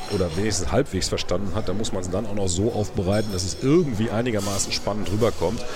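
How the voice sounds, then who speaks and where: Over noticeable background noise and audible room echo, a man talks very fast at a fairly low pitch with fairly even intonation. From Münster, North Rhine-Westphalia. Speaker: political correspondent and podcast co-host. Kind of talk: casual chat. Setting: parliament building foyer.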